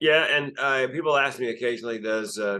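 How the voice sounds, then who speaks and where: A man talks at a fairly quick pace in a bright, sharp tone. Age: 60s. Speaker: comedian and suicide prevention speaker. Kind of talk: interview conversation.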